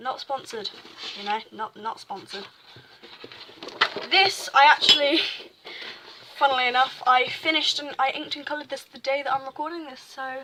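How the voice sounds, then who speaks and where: A woman uses a raised, projected voice. Her pace is moderate. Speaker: amateur artist vlogger. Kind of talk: casual sketchbook walkthrough. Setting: home desk recording. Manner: halting, stuttering.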